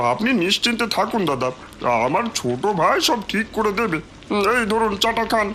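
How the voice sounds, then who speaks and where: In a cartoonish character voice, a man projects loudly at high pitch with very wide pitch swings, keeping his loudness very even at a moderate pace, while background noise is clearly heard. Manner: smooth, reassuring.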